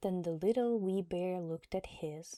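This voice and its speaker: Soft-spoken, with a calm, gentle tone, a woman speaks at medium pitch in a dry, close sound with no echo. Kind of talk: sleep story. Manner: soft-spoken, calm, gentle pace.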